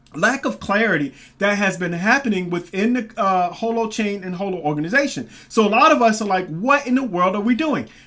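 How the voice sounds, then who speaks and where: A man speaks at a fairly quick pace with a high, projected voice and a bright, sharp tone. His intonation is lively, and he hardly pauses. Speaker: crypto commentary youtuber. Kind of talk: casual video commentary. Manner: fast; halting, many fillers.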